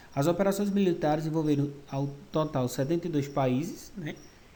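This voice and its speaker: The man's voice carries a clear room echo as he talks at a middling speed. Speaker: school history teacher. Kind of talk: online lecture. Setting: recorded virtual class.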